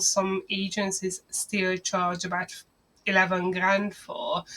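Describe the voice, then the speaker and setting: A woman of medium pitch speaks with a Hungarian accent. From Hungary. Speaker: marketing agency owner. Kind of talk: business talk to camera.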